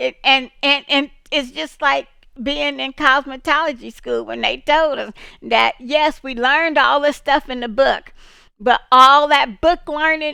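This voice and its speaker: A woman projects a raised, high-pitched voice with a bright, sharp tone at a fairly slow pace, recorded very cleanly against a silent background. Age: 60s. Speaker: streamer. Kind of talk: casual chat. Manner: halting.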